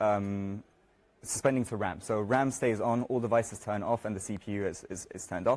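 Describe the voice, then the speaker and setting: Ordinary pitch variation marks speech that runs at a fairly quick pace. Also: man. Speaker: software developer giving a conference talk. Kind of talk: conference talk. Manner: fast; halting, many filler words.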